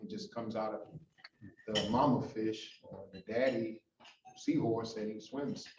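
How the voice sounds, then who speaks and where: With an American accent, a man is talking. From New York, the Bronx. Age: 60s. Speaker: pastor and gang violence prevention leader. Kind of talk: guest talk.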